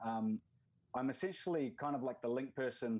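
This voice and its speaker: Over a quiet background, a man with a New Zealand accent talks at a moderate pace, his medium pitch showing ordinary variation. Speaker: football league representative. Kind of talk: podcast interview.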